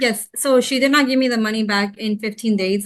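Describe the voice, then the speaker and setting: This is a woman's voice. She talks at a fairly quick pace. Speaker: tenant. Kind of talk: court hearing testimony. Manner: fast.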